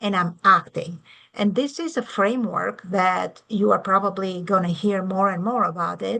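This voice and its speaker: Against a quiet background, a woman speaks at a medium pitch and a moderate pace. Her tone is bright and sharp. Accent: European. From Europe. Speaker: university tech director and lecturer. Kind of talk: lecture.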